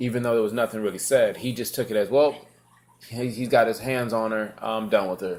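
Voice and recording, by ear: Speaking at a fairly quick pace, a man uses a fairly low pitch with ordinary pitch variation.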